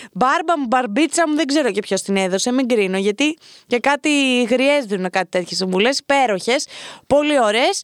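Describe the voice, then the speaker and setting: A woman speaks at a moderate pace in a high voice, her intonation lively and her tone animated, with a dry, close sound and no echo. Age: 20s. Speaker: podcast host. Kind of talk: casual advice monologue.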